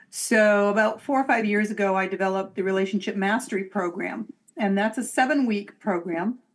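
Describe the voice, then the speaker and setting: With a Boston accent, a woman speaks at a medium pitch and moderate pace on a very clean recording with a silent background. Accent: Boston-area. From Massachusetts, near Boston. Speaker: psychic medium and relationship coach. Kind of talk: podcast interview.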